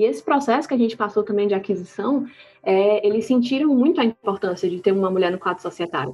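A woman rattles along at a very fast pace, her intonation lively. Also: medium pitch for a woman. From Ceará, Brazil. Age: 20s. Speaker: startup co-founder. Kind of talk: casual interview. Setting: remote recording.

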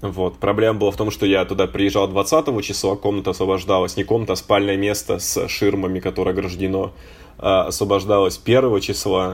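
A man with an unremarkable speaking voice talks at a fairly quick pace, his fairly low pitch rising and falling in an ordinary way. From Russia, Voronezh. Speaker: podcast co-host. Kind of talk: casual chat.

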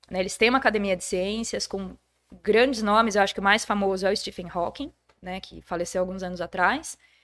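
A woman speaks fairly quickly in a plain, everyday voice of medium pitch, with ordinary pitch variation and big swings in loudness. The recording is very clean, with a silent background. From Brazil, Jundiaí (São Paulo state). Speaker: schoolteacher and historian. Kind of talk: casual podcast interview.

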